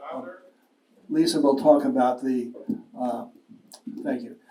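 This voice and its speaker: There is audible room echo around a man speaking. He talks at a moderate pace. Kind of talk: public talk on legal history. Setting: lecture with live audience.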